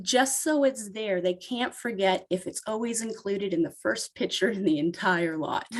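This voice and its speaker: An unremarkable speaking voice from a woman at medium pitch, with lively intonation, a moderate pace and hardly any pauses. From Canada, Ontario. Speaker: photographer. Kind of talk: casual interview. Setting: podcast interview.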